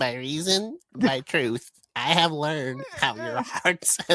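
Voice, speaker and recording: Speaking at a fairly slow pace, the put-on character voice sits at a middle pitch. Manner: theatrical, dramatic.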